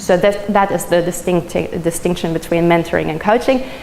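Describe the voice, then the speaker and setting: A woman with a German accent speaks at a fairly low pitch. Her pitch varies in an ordinary way, and noticeable background noise is present. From Germany. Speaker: social media trainer. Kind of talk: presentation.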